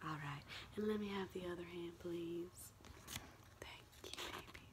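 A soft-spoken woman talks at a moderate pace. Noticeable background noise is present. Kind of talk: casual vlog chat. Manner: soft ASMR roleplay voice. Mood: warm, affectionate. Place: home room. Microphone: webcam.

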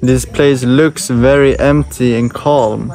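Very slow speech with dry, echo-free sound and music in the background. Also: man. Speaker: travel vlogger. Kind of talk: casual vlog chat. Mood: cheerful, playful. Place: garden. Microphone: phone near.

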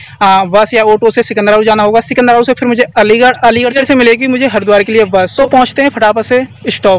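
A man's extremely high-pitched voice at a moderate pace, with fairly even intonation, very even loudness, hardly any pauses, and a dry, echo-free sound. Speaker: travel vlogger. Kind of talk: casual vlog chat. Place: street. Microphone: phone near.

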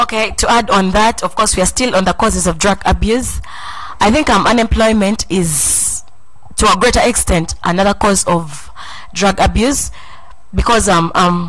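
Very even loudness at a moderate pace with ordinary pitch variation. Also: woman. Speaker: talk show host. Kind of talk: panel discussion moderation. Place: studio. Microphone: handheld.

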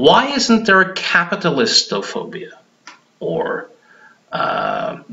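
A man speaks with a Norwegian accent. His pace is very slow. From Norway. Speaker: hypnotherapist; hypnotist commentator. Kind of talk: monologue vlog. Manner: halting, frequent repetitions. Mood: argumentative, critical. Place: home room. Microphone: webcam.

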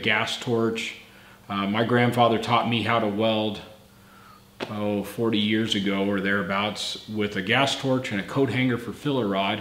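Against audible room echo, a man talks at a moderate pace in a medium pitch with fairly even intonation. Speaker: channel host, car builder. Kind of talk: casual talk to camera. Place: garage. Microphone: camera far.

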